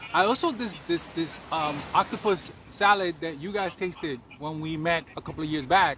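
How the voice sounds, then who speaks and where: Over noticeable background noise, a man with a New York accent talks at a moderate pace in a high pitch with ordinary pitch variation. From Bronx, New York. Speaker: cannabis chef. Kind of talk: interview answer.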